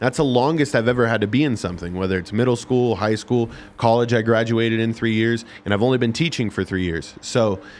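A man with an American accent talks at a fairly quick pace, with hardly any pauses, at a medium pitch and with ordinary pitch variation. It is an ordinary speaking voice, set against a quiet background. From Las Vegas, Nevada. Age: 20s. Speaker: special education teacher. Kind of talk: casual chat.

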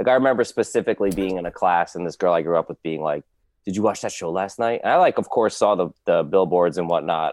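A man with an American accent and a very deep, low pitch speaks at a very fast pace in a dry, close sound with no echo. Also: ordinary pitch variation. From New Jersey. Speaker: podcast guest, Sopranos fan. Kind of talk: casual chat.

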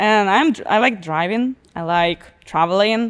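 A woman talks at a fairly slow pace. She has an Eastern European accent. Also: very clean recording, silent background. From Belarus. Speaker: truck driver and car model. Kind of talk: casual chat. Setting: studio. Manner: halting.

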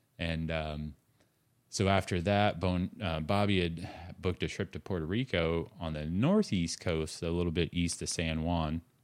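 The speaker has an American accent and fairly even intonation at a moderate pace. The recording is very clean, with a silent background. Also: man, very deep, low pitch for a man. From Indiana. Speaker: wing foiling instructor. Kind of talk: casual chat.

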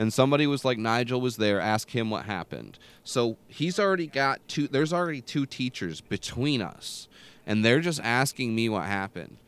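On a very clean recording with a silent background, a man with an American accent speaks in a plain, everyday voice at a medium pitch and moderate pace, with lively intonation. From small rural US town. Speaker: podcast host. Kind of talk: casual chat.

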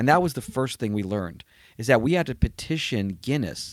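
Spoken at a fairly quick pace with lively intonation and an animated tone, this voice sits on a very clean recording with a silent background. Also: man. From New York. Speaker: comedian. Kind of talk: casual chat.

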